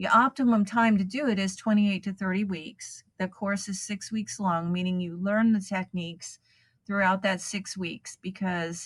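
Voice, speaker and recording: In a very clean recording with a silent background, a woman speaks at a moderate pace and medium pitch, somewhat breathy, with fairly even intonation. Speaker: hypnobirthing program founder. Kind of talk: interview answer.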